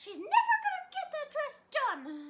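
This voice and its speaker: A woman's squeaky, put-on character voice, extremely high-pitched and fairly slow. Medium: read story.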